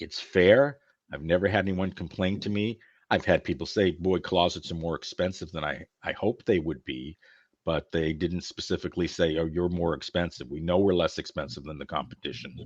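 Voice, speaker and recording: Over a quiet background, a man speaks with a very deep, low pitch. He moves at a fairly quick pace with ordinary pitch variation. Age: 60s. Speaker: closet business owner. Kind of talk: podcast interview. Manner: conversational.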